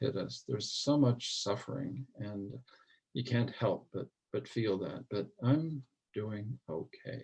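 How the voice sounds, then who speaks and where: Somewhat breathy, a man with an American accent speaks at a very slow pace and a medium pitch, with ordinary pitch variation. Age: 60s. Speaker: mental health advocate. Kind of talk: interview.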